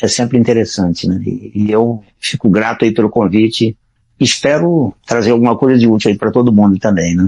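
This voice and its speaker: Dark, mellow tone at a moderate pace, with very even loudness and ordinary pitch variation. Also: man, medium pitch for a man. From Brazil, Ceará (Northeast). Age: 60s. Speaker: retired-age programmer, blind since infancy. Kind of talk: podcast interview.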